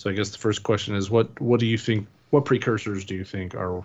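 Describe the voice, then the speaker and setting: Fairly low in pitch, a man speaks in a normal speaking voice with fairly even intonation. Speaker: film critic and site editor. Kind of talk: casual chat. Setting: video call.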